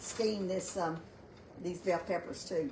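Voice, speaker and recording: With audible room echo and noticeable background noise, a woman talks at a moderate pace in a medium pitch. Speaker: home cooking livestream host. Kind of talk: live cooking demonstration. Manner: loud; halting, many fillers. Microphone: no microphone, built-in device mic.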